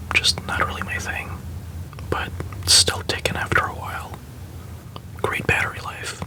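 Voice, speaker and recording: Whispering with a gentle tone at a moderate pace, the speaker comes through noticeable background noise. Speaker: watch collector. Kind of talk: ASMR whispered show-and-tell. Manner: whispered, gentle.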